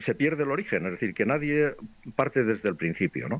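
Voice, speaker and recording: A man's medium-pitched voice with vocal fry and very wide pitch swings, over a quiet background. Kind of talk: casual discussion. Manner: halting, restarts sentences.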